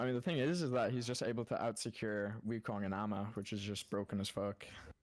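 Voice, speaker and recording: This man talks at a very fast pace, his voice fairly low and his pitch varying in an ordinary way. The recording is very clean with a silent background, and his loudness stays very even. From Ireland. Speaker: top-ranked gamer. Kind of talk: casual chat.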